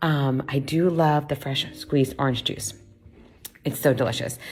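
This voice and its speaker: This woman has a very deep, low pitch and an animated tone. Noticeable background noise runs behind her. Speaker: vlogger. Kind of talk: casual walking tour vlog. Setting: indoors and outdoors at a bed and breakfast. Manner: loud; chatty, animated.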